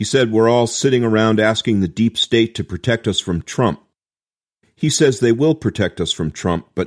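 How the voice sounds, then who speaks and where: In a normal speaking voice, a man with a fairly low pitch talks at a fairly quick pace, the sound dry and close with no echo. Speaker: podcast co-host. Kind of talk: podcast discussion.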